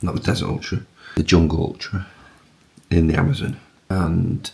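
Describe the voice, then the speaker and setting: A man whispers. Background noise is noticeable. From northern England, Tottington near Bury, Greater Manchester. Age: 40s. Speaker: performance coach and amateur ultrarunner vlogger. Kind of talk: casual vlog monologue. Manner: whispering.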